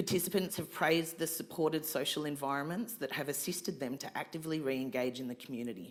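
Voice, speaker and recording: Delivered at an average speed, the speech comes in an Australian accent. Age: 40s. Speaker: community organisation representative. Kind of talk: fundraising pitch speech; audience Q&A answer. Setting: stage with live audience at fundraising event. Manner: halting.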